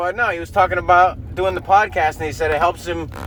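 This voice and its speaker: Fairly high for a man, his voice shows ordinary pitch variation. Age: 30s. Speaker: podcast host, aspiring comedian. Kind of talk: casual rant podcast. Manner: halting, many fillers and false starts.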